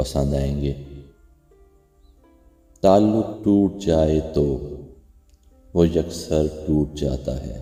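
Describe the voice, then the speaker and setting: A man speaks with a very deep, low pitch and ordinary pitch variation. Music plays in the background. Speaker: poetry narrator. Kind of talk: poetry reading with commentary.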